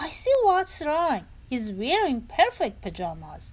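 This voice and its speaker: A woman puts on a character voice, high in pitch with very wide pitch swings. She speaks at a fairly slow pace. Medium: read story.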